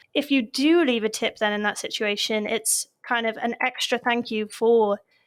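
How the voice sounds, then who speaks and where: A woman talks with a British accent and ordinary pitch variation. The recording is very clean, with a silent background. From United Kingdom. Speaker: podcast host. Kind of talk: interview.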